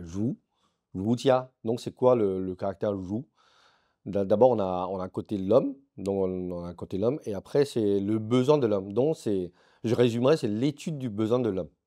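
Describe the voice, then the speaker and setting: Over a quiet background, a man speaks at a fairly slow pace with a dark, mellow tone, fairly low pitch and ordinary pitch variation. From France, Strasbourg (Alsace); France. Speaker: business founder; interviewee. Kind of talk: interview. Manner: halting, many repetitions. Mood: relaxed, explanatory. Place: home room. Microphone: lapel.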